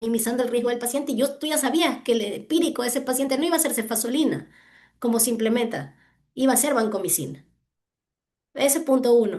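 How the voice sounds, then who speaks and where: Against a quiet background, a woman talks at a very fast pace with a high pitch. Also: ordinary pitch variation. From Ecuador. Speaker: hospital physician presenting a clinical case. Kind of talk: case discussion in online medical session.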